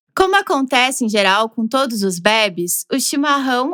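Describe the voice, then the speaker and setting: A woman with a southern Brazilian accent speaks at a moderate pace in a high, bright, sharp voice. The sound is dry and close, with no echo. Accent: gaúcho Brazilian Portuguese. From southern Brazil, Rio Grande do Sul (Porto Alegre). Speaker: podcast narrator. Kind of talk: scripted narration.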